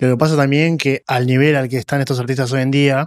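A man with a Rioplatense accent and fairly even intonation, in a dry sound with no echo against a quiet background. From Argentina. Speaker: podcast host. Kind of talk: interview. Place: studio. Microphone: studio mic.

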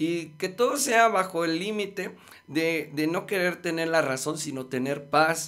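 A man speaks at a fairly slow pace in a high voice, with ordinary pitch variation. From Mexico City. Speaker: musician and life coach; life coach. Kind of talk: casual chat. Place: studio. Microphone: studio mic.

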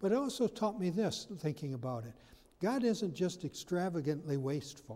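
A man speaks at a moderate pace in a high pitch for a man. His tone is dark and mellow, with very wide pitch swings. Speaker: pastor. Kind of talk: sermon. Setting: church. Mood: warm, lightly humorous. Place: church.

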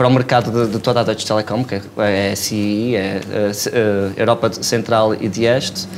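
The speech moves at a moderate pace with hardly any pauses. The intonation is monotone and flat, with light background noise. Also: man, fairly low pitch for a man. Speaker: startup founder. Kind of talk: casual interview chat. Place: studio. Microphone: lapel.

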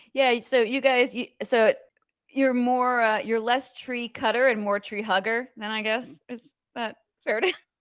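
A woman with a high pitch talks at a fairly slow pace. The recording is very clean, with a silent background. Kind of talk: casual interview. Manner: animated.

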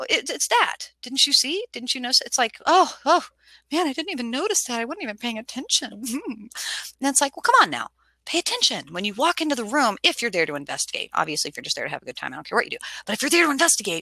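A woman speaks very fast in a raised, projected voice with a bright, sharp tone. Her pitch swings very widely, and the sound is dry with no echo over a quiet background. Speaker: presenter. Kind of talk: lecture. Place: home room. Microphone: headset.

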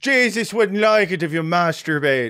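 A man's put-on character voice in an Irish accent, high in pitch, at a moderate pace. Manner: exaggerated. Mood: laughing, joking.

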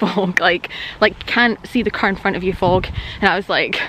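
Noticeable background noise surrounds a woman speaking in a dry sound with no echo. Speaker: wildlife photographer vlogger. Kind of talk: casual vlog chat. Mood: cheerful, laughing. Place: open country. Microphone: phone near.

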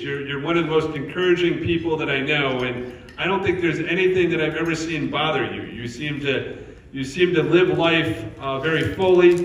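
A man's fairly high voice at a moderate pace, fairly even in intonation, with audible room echo. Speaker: retirement community CEO. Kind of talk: casual conversation. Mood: warm, praising. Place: hall. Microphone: handheld.

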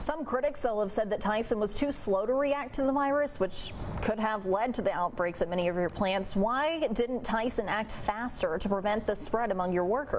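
A woman's voice at a moderate pace with hardly any pauses, very even loudness and ordinary pitch variation, over light background noise. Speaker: TV news anchor and reporter. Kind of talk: TV news anchor read. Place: studio.

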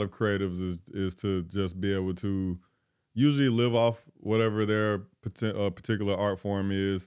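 Behind a man's voice, the background stays quiet. His pitch is fairly low, with ordinary variation. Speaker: podcast co-host. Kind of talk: casual interview. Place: studio. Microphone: handheld.

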